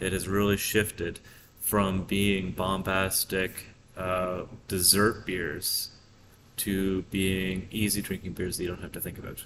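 A man speaks with a very deep, low pitch and a monotone, flat intonation. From Prince Edward Island, Canada. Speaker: brewery co-owner. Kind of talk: interview. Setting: in a brewery taproom.

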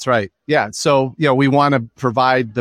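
A plain, everyday voice from a man at medium pitch and moderate pace, dry and close with no echo, on a very clean recording with a silent background. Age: 50s. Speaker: student loan financial advisor. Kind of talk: interview.

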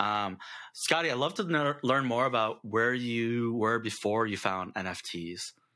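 On a very clean recording with a silent background, a man with a normal speaking voice talks at a fairly slow pace with ordinary pitch variation. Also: medium pitch for a man. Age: 30s. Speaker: podcast host. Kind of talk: casual chat.

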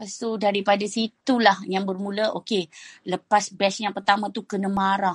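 A woman speaks at a medium pitch with ordinary pitch variation. Her pace is fairly slow, and her voice is somewhat breathy. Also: dry, close sound with no echo. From Perak, Malaysia (Kuala Kurau / Bagan Serai). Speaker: food business founder. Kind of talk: interview testimony on a live audio chat. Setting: live audio chat room, at home.

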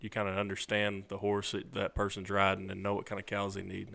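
A man with a Southern US accent speaks fairly quickly at a fairly low pitch, his intonation monotone and flat. The recording is very clean, with a silent background. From Arkansas, near Memphis. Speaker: cutting horse trainer. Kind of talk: interview.

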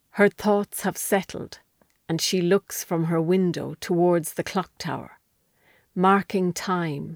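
In an Irish accent, a woman with a fairly low pitch speaks at a very slow pace in a monotone, with a dry, close sound and no echo. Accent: Irish, Wexford. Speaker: author reading her own story. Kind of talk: literary audiobook reading, scripted narration of a historical short story. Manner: measured, storytelling cadence; hushed, atmospheric, lingering on vivid period detail.

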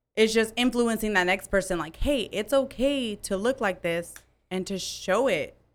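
A woman's fairly high, ordinary speaking voice, at a moderate pace with ordinary pitch variation. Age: 20s. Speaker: upper management worker.

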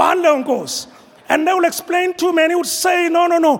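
A man talks in an animated tone with a Zulu accent. Noticeable background noise runs behind him. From South Africa, rural KwaZulu-Natal. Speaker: apostle preaching at a church conference. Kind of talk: sermon. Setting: church with congregation.

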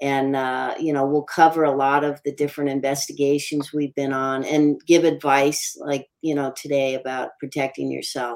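A woman's extremely low, slightly mellow voice at a moderate pace, with little pitch movement and few pauses.

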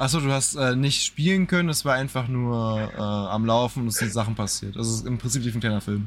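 A man with a plain, everyday voice and medium pitch, at a fairly quick pace with hardly any pauses and ordinary pitch variation, on a very clean recording with a silent background. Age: 20s. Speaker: gaming podcast co-host. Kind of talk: casual chat.

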